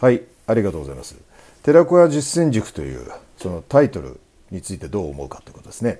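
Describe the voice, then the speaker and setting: A man races along at a very fast pace with very wide pitch swings and big swings in loudness. His tone is dark and mellow, with vocal fry. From Japan, Sendai (Miyagi). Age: 50s. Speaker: business coach and company founder. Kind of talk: interview talk. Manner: hesitant filler-heavy.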